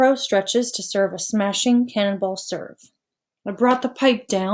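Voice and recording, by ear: Someone is reading aloud in a natural voice, with only a quiet background around it.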